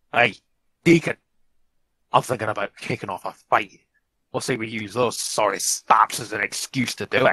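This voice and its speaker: A man's put-on character voice at a medium pitch and moderate pace, with long, frequent pauses. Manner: hushed, conspiratorial.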